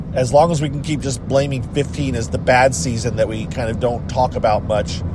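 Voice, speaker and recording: Over noticeable background noise and audible room echo, the speaker moves at a fairly quick pace with lively intonation. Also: man, medium pitch for a man. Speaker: reality TV commentary vlogger. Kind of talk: casual vlog monologue. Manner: mumbling, distracted.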